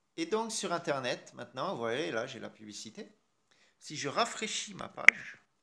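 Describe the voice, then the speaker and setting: Very wide pitch swings and vocal fry mark this man's fairly high voice as he speaks at a fairly slow pace. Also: big swings in loudness. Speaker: tech youtuber. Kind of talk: tutorial. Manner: casual, hesitant.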